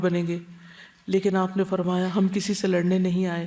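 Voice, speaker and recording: A dark, mellow tone marks this woman's medium-pitched voice. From Pakistan. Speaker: Islamic scholar and preacher. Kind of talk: religious lecture.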